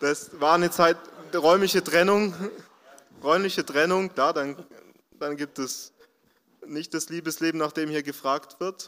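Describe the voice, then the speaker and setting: A man's bright, sharp, fairly high voice, fairly slow and fairly even in intonation, with long, frequent pauses. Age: 20s. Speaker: social worker at a job centre. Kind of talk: testimony.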